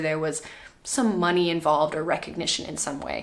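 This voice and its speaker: With noticeable background noise behind her, a woman speaks at a fairly quick pace in a fairly low pitch with ordinary pitch variation. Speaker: art student. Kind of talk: casual talk to camera.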